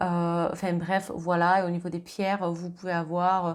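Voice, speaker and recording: A woman speaks at a moderate pace in a fairly low pitch. Her intonation stays flat and monotone. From southern France. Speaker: medium and tarot reader. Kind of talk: astrology card reading.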